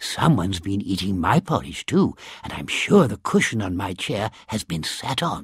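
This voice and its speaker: Growling in a put-on character voice, a soft-spoken man with a fairly low pitch speaks at a moderate pace. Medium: read story.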